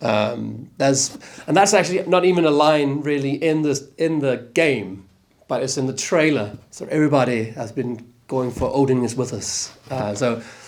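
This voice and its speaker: A man with a Danish accent, fairly high in pitch, at a moderate pace with ordinary pitch variation and audible room echo. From Denmark. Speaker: actor. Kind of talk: interview. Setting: convention panel. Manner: halting.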